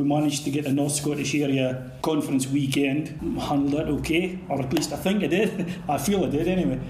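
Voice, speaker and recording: A man speaks fairly quickly, keeping his loudness very even. Audible room echo and noticeable background noise surround him. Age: 50s. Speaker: youth organisation volunteer leader. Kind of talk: interview.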